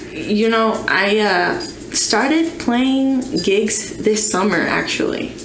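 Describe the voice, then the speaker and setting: A woman's fairly high voice in a Spanish accent, very slow in pace, with lively intonation and very even loudness, plus audible room echo and noticeable background noise. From Nicaragua. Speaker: musician. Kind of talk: casual chat.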